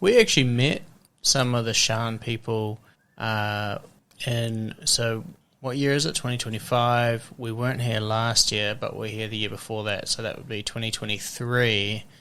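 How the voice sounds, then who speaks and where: With a bright, sharp tone, a man talks at a moderate pace in a medium pitch and fairly even intonation. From New Zealand. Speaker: podcast host. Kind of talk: casual interview. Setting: in-person podcast with microphones.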